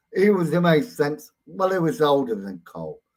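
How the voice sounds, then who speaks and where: Speaking with a British accent, a man uses an animated tone at a fairly slow pace. His fairly high pitch swings very widely. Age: 60s. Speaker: YouTube ranter, live streamer. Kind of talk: live stream rant. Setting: live stream.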